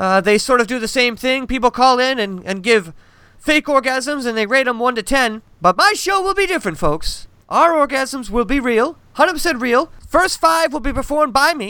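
Projecting a raised voice, a man speaks at an extremely high pitch with a bright, sharp tone, lively intonation and a moderate pace. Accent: American. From Massachusetts. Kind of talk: casual chat.

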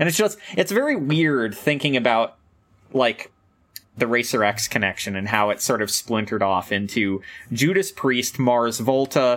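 Here a man talks at a moderate pace with a medium pitch. His intonation is lively. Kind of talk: casual chat about metal. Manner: animated, excitable.

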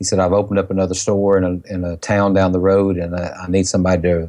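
With a Southern US accent, a man speaks at a very fast pace in a very deep, low voice of dark, mellow tone against a quiet background. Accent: Southern US, country. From Mississippi, US South. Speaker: pharmacist. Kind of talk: interview. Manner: soft-spoken; emotional, passionate.

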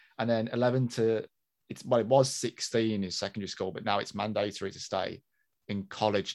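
The delivery is very fast, with a British accent. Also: man. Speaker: podcast co-host. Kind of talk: casual chat. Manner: animated.

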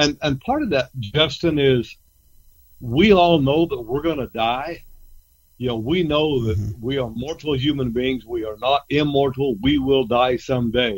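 With an American accent, a man speaks in an ordinary speaking voice at a medium pitch, a moderate pace and ordinary pitch variation. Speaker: ranch consultant and coach. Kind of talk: casual radio interview.

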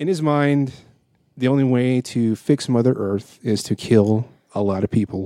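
Recorded dry and close with no echo, a man speaks at a moderate pace in a medium-pitched, dark, mellow tone with ordinary pitch variation. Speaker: podcast host. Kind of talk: casual chat. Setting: home dining room table.

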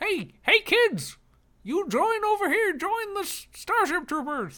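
A squeaky, extremely high-pitched put-on character voice at a fairly slow pace. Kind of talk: vintage, chipper.

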